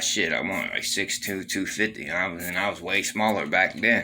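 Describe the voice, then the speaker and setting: Noticeable background noise surrounds a man's voice. He has a very deep, low pitch and a fairly quick pace. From Baltimore, Maryland. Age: 40s. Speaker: former prisoner telling his story. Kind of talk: casual first-person storytelling monologue. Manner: conversational with many fillers.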